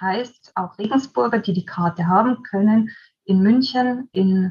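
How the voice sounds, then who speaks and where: The voice is somewhat breathy and moves at a fairly slow pace with ordinary pitch variation. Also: woman. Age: 40s. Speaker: volunteer coordinator. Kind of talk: interview.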